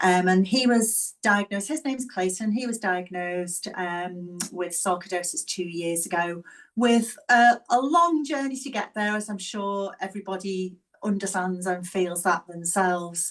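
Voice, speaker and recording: The speaker has a slight Scouse accent and ordinary pitch variation. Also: woman. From northern England, Liverpool. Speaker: physiotherapist and caregiver. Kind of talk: talk to an online audience. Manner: deliberately slowed down.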